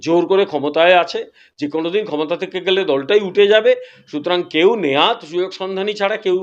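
A man speaks in a high pitch. His voice shows ordinary pitch variation. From West Bengal, Dakshin Medinipur near Odisha border. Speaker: politician. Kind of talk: interview.

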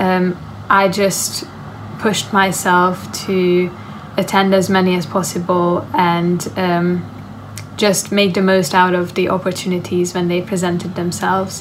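Over light background noise, a woman speaks at a fairly slow pace in a monotone, flat intonation. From Hungary. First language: Hungarian. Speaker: university student. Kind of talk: interview answer. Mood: calm, friendly, reflective. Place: home room. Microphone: phone near.

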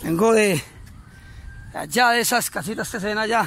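A man with a high pitch at a fairly quick pace, dry sound with no echo. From Colombia, Antioquia. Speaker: cyclist vlogger. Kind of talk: casual video greeting. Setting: outdoors. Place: open country. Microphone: phone near.

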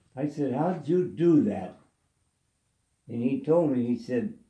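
In a room with audible echo, a man speaks very slowly in a dark, mellow tone. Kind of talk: casual storytelling. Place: home room. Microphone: phone near.

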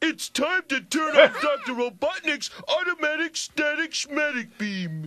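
In a high-pitched, put-on character voice, the words come at a fairly slow pace with hardly any pauses. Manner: slow, dopey.

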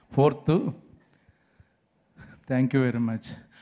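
In a quiet setting, a man talks in a fairly high voice with fairly even intonation. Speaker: film actor. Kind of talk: humorous speech at a film trailer launch event. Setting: stage microphone at press event. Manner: joking, playful. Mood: joking, light humorous. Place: stage. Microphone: handheld.

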